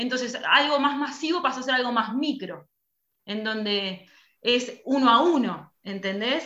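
Audible room echo surrounds a woman's voice, high in pitch with ordinary variation. She speaks at a fairly slow pace. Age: young. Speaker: theatre school director. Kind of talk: casual chat. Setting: video call.

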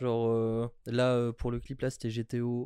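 Recorded dry and close with no echo against a quiet background, a man speaks in a dark, mellow tone. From France, Metz. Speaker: podcast guest. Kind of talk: casual chat.

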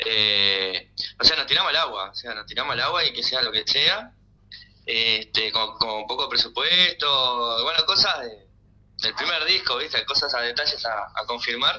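A man speaks at a fairly slow pace with noticeable background noise. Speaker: rock band member. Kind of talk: interview.

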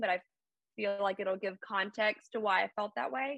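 A woman with an American accent speaks at a moderate pace in a bright, sharp tone. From US South, Alabama (Birmingham area). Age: 20s. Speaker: mental health advocate. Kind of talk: casual chat.

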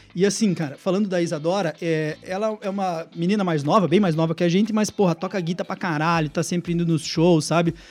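A man with a high pitch speaks at a fairly quick pace with fairly even intonation and hardly any pauses. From southwest Paraná, Brazil (Francisco Beltrão). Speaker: rock band singer. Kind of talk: casual radio interview. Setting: radio studio, live. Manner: blunt, rough way of talking.

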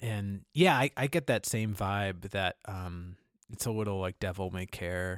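A man speaks in a normal speaking voice, fairly low in pitch with ordinary pitch variation. The recording is very clean, with a silent background and a dry, close sound with no echo. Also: fairly slow pace. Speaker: podcast host. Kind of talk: casual podcast discussion of films.

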